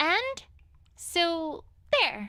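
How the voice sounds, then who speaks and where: A female-sounding, put-on character voice, squeaky and extremely high in pitch. Its pitch swings very widely. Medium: video game. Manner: earnest, easily flustered.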